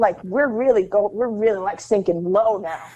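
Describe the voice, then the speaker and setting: At a fairly quick pace, a woman speaks in a medium pitch with ordinary pitch variation. Her tone is animated. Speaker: actress and metal musician. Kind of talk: interview. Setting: remote call with headphones. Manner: loud.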